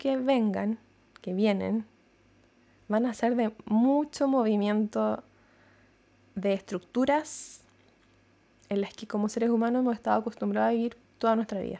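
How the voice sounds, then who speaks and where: Fairly slow, fairly high-pitched speech from a woman, dark and mellow in tone, with fairly even intonation and long, frequent pauses. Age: 30s. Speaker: psychologist and podcast host. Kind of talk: reflective monologue. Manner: hesitant, repeats words.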